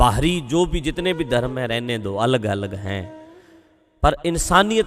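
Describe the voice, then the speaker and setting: With music in the background, the speaker's pitch swings very widely in a Punjabi accent. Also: man. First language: Punjabi (speaking Hindi). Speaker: Sikh religious speaker. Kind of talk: spiritual talk.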